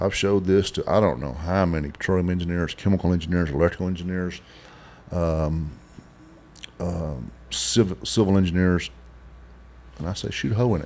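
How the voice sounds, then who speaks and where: With a West Texas accent, a man with a very deep, low voice uses ordinary pitch variation and leaves long, frequent pauses. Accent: West Texas drawl. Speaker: oilfield inventor and business owner. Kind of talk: interview. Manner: halting.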